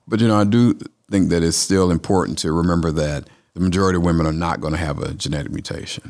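In a Southern US accent, the speaker talks at a very fast pace with ordinary pitch variation. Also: man, very deep, low pitch for a man. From Atlanta, Georgia. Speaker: oncologist. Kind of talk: interview.

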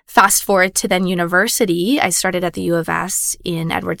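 A woman speaks with a Canadian accent. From Saskatchewan, Canada. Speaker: insurance executive and angel investor. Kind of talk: interview.

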